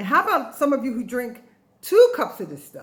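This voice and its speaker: Animated in tone, a woman speaks with very wide pitch swings. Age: 60s. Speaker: health vlogger and ebook author. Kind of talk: informal tutorial to camera.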